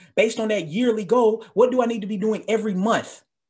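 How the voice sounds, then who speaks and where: An animated man with an American accent, high-pitched and fairly quick, over a quiet background. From US South, Tennessee. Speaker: sociology professor. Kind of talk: keynote speech.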